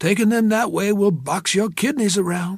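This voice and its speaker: A put-on character voice from a man, high in pitch, at a moderate pace. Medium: read story. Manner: warm, frank, motherly.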